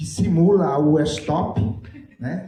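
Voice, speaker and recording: A man speaks at a fairly high pitch. Room echo is audible. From Brazil, Mato Grosso do Sul (Jardim). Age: 60s. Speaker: writer. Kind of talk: panel talk. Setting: stage with audience.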